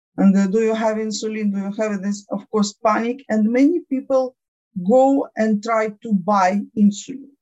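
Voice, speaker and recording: A woman speaks at a moderate pace with a fairly high pitch. Her tone is dark and mellow, and somewhat breathy. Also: ordinary pitch variation. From Ukraine. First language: Ukrainian or Russian. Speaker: diabetes patient advocate. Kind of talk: interview. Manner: halting.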